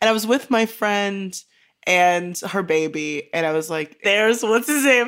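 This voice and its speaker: Here a woman has an unremarkable speaking voice at a medium pitch. She speaks at a fairly slow pace. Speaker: writer. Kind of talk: casual chat.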